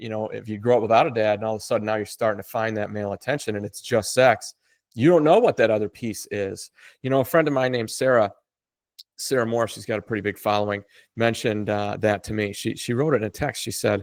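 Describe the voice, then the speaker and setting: Talking at a very fast pace, a man uses fairly even intonation with an American accent. The sound is dry and close, with no echo. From United States. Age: 40s. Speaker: author of men's self-help books. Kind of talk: podcast interview.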